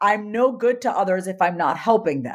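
A woman talks in a normal speaking voice at a moderate pace. Her pitch is medium. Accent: American. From US, Indian immigrant family. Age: 30s. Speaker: confidence coach. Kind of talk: interview.

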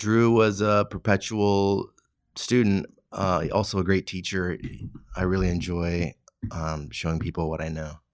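The speaker has a Californian accent and a fairly slow pace. Pitch variation is ordinary, and the recording is very clean with a silent background. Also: man, very deep, low pitch for a man. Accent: General American (Californian). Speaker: knife maker and former chef. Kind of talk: interview. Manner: casual, hesitant with fillers.

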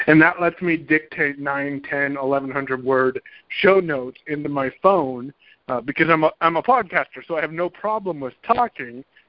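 Moderate pace and ordinary pitch variation from a man with a fairly high voice. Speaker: blind podcaster and digital marketing coach. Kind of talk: casual interview. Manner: talkative.

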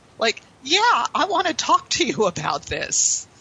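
Over noticeable background noise, a woman with an American accent speaks with very wide pitch swings. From Pittsburgh, Pennsylvania, US. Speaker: sales trainer. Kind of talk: interview.

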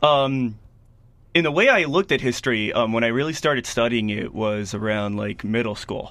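A man's plain, everyday voice with an American accent, medium pitch, ordinary pitch variation and a moderate pace. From Miami and Washington DC area, US. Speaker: guest. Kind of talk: casual radio interview.

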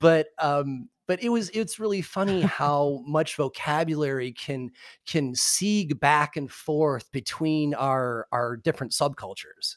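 A fairly high-pitched man with a Midwestern American accent speaks at a fairly slow pace with lively intonation and hardly any pauses. The sound is dry and close with no echo, on a very clean recording with a silent background. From US Midwest, Michigan. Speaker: cannabis podcast host. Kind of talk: casual interview. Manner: hesitant, many fillers.

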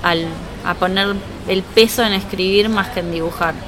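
Noticeable background noise and audible room echo are present in the recording. A woman speaks at a medium pitch with fairly even intonation. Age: 30s. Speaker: illustrator and comic artist. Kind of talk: interview at live meetup. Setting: live meetup with audience.

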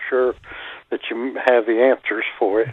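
This man has an unremarkable speaking voice, medium in pitch, with an American accent. He talks at a moderate pace. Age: 60s. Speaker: caller, military veteran. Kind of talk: call-in question. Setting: phone call.

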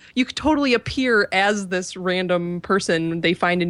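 With a plain, everyday voice, a woman speaks at a medium pitch and moderate pace with ordinary pitch variation, the sound dry and close with no echo. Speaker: podcast co-host. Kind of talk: podcast interview and intro.

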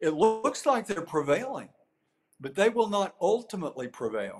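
Using very wide pitch swings, a man with an American accent speaks at a moderate pace. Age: 60s. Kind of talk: interview.

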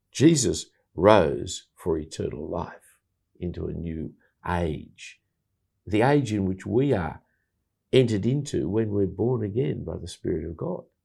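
Speaking with an Australian accent, a man with a fairly low pitch and a dark, mellow tone moves at a fairly slow pace, his intonation lively, his loudness swinging widely, and long, frequent pauses breaking up his speech against a quiet background. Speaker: bible teacher and evangelist. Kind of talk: casual chat.

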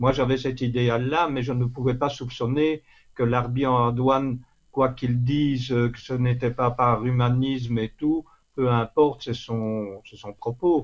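A man speaks at medium pitch with monotone, flat intonation. He talks very slowly. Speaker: literary columnist and author. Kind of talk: interview. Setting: phone call.

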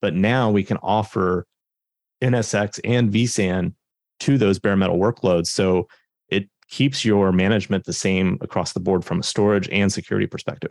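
In an unremarkable speaking voice, a man talks at a moderate pace with fairly low pitch, fairly even intonation and very even loudness, the recording very clean with a silent background and a dry, close sound with no echo. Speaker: technical marketing engineer. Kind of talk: technical explanation, interview.

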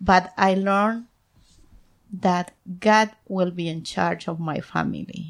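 A woman's medium-pitched voice with an Ecuadorian accent, very slow pace, fairly even intonation and long, frequent pauses. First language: Spanish. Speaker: guest. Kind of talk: casual interview chat. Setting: recorded at home. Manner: halting, nervous in English.

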